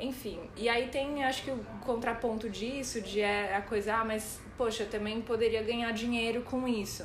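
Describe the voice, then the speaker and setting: A woman speaks at a fairly high pitch in a monotone, flat intonation, at a moderate pace with hardly any pauses. Room echo is audible. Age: 30s. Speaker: podcast co-host. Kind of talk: casual chat.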